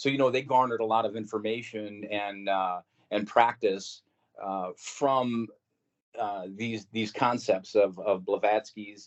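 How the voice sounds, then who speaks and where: A man's fairly low voice, fairly slow, with fairly even intonation. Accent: US Midwestern. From Missouri, St. Louis. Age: 60s. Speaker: podcast guest recounting paranormal experiences. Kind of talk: casual interview storytelling.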